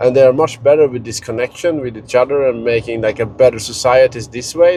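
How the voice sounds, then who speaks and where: Over noticeable background noise, a man with a Scandinavian accent speaks with ordinary pitch variation. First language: Scandinavian language. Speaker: travel and finance vlogger. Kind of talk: casual vlog monologue. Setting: in a car. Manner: halting, many fillers and repetitions.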